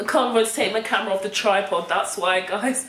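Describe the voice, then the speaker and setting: Noticeable background noise and audible room echo accompany a woman speaking at a medium pitch with ordinary pitch variation. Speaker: vlogger. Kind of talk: personal vlog monologue. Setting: home recording with camera on tripod.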